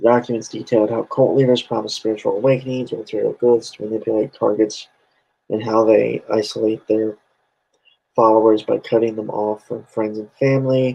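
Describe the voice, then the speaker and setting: With flat, monotone intonation, the man talks at a medium pitch. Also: fairly quick pace. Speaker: podcast co-host. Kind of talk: reading aloud.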